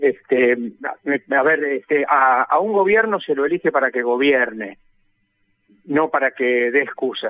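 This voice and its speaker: Recorded dry and close with no echo, a man speaks at a fairly high pitch with a bright, sharp tone and lively intonation. He moves at a fairly slow pace with long, frequent pauses. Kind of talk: radio interview.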